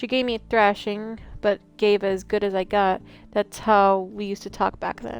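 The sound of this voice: The text is delivered in an unforced reading voice.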